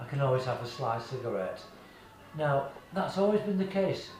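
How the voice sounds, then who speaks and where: Over noticeable background noise and audible room echo, a man with a British accent speaks at a moderate pace, fairly high in pitch with very wide pitch swings. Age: 70s. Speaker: client giving a testimonial. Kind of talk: testimony. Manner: halting, repeats words.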